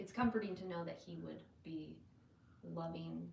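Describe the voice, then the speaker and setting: A quiet woman speaks at a moderate pace amid audible room echo. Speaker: parent on family channel. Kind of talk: casual live-stream chat. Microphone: no mic on, too quiet.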